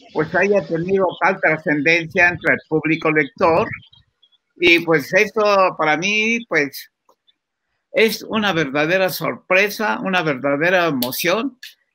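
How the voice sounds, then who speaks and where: A man speaks at a very slow pace with a high pitch and ordinary pitch variation. His tone is bright and sharp, and his loudness very even. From Mexico. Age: 80s+. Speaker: comic book artist. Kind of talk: interview. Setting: video call.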